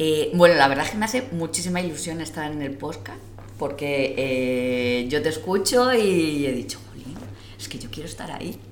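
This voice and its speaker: A woman with a very deep, low voice, very wide pitch swings and big swings in loudness, at a moderate pace, with noticeable background noise and audible room echo. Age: 40s. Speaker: civil service exam candidate. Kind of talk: casual group chat.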